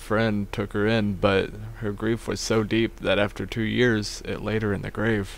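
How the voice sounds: Text delivered in a natural reading voice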